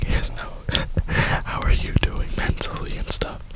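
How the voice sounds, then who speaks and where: A man whispers with an American accent. Noticeable background noise runs underneath. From Florida, USA. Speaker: ASMR YouTuber who also works a retail job. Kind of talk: casual talk to camera, rambling. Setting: inside a parked car. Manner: whispered, soft-spoken.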